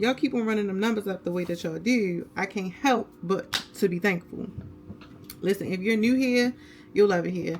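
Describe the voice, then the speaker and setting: A woman talks at a fairly quick pace in a normal speaking voice. Her pitch sits at a medium level with ordinary variation. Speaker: beauty and lifestyle vlogger. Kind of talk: get ready with me tutorial. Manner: casual, chatty.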